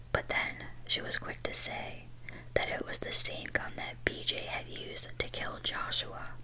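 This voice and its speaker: Over noticeable background noise, a woman whispers at a fairly slow pace. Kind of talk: true crime ASMR narration. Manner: whispered.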